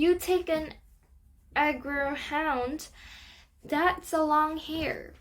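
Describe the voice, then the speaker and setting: A squeaky, put-on character voice moves at a very slow pace. Long pauses come frequently. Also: woman, high pitch for a woman. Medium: read story. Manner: chatty, slangy.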